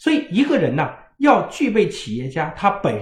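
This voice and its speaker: A man speaks at a moderate pace in an animated tone, his pitch swinging very widely. Audible echo fills the room. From rural China. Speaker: parenting educator. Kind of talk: lecture.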